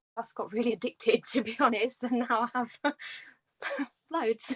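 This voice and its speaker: A woman with a British accent talks at a fairly quick pace with ordinary pitch variation. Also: dry, close sound with no echo. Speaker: reptile breeder. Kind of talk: casual chat.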